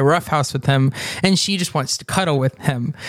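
Noticeable background noise behind a man's moderately paced speech, its pitch varying in an ordinary way. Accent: American. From Texas, Denton. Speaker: church minister. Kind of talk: casual chat.

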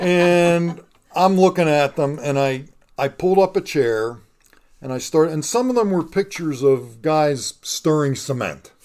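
Moving at a fairly slow pace, a man talks in a fairly high pitch with ordinary pitch variation. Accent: Pittsburgh. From Pittsburgh, western Pennsylvania. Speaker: local historian and YouTube creator. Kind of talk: casual interview. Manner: halting, many fillers and repeats.

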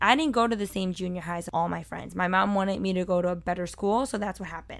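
A woman with an American accent talks loudly in an animated tone, at a medium pitch with ordinary pitch variation. The recording is very clean, with a silent background. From Brooklyn, New York. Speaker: podcast host and culinary producer. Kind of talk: scripted-feeling solo personal narration. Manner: animated, talkative, loud.

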